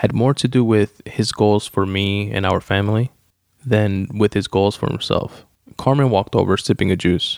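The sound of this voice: Over a silent backdrop, an unforced reading voice, its pitch varying in an ordinary way.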